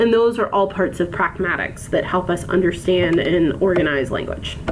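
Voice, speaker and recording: With an American accent, a woman speaks at a medium pitch and a moderate pace, with ordinary pitch variation and very even loudness, amid audible room echo and noticeable background noise. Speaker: college instructor. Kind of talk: recorded lecture. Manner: measured, precise in lectures; frequent filler ums.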